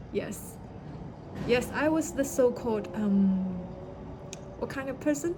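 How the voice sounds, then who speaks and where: A woman with a Chinese accent speaks over noticeable background noise, with audible echo from the room. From China. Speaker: vlogger. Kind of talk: personal story. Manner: halting.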